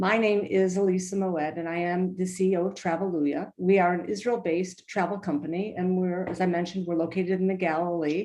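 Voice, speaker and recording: A woman with an American accent speaks in a dark, mellow tone, her flat, monotone delivery running on with hardly any pauses. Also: medium pitch for a woman. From US Midwest, Michigan. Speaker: travel company executive. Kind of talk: virtual tour introduction. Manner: halting, many fillers.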